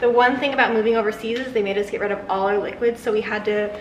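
A woman's voice with fairly even intonation, audible room echo and light background noise. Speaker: vlogger. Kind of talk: casual vlog chat. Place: kitchen. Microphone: camera far.

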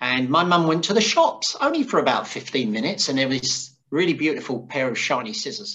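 Fairly quick speech from a man, set in a quiet background. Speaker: interview guest. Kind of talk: interview answer. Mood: amused storytelling, laughing. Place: home room. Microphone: earbuds.

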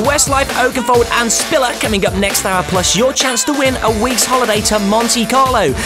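Over clear background music, a man talks with hardly any pauses. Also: moderate pace. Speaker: radio DJ. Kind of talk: radio DJ links. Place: studio.

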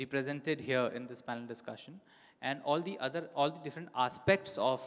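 A man is talking. The background is quiet. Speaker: panel moderator. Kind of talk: event introduction. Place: hall. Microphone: handheld.

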